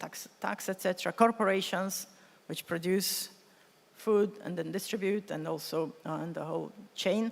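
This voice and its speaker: A woman with a medium-pitched voice and ordinary pitch variation is heard over noticeable background noise. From Mongolia. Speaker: climate finance official, conference speaker. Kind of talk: conference keynote speech. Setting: conference hall with simultaneous interpretation. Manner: fast.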